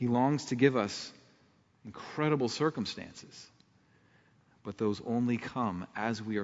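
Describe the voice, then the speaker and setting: In a Midwestern American accent, a man speaks at a fairly slow pace with a medium pitch and ordinary pitch variation. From Ohio, Akron area. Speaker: pastor. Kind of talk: sermon. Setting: church.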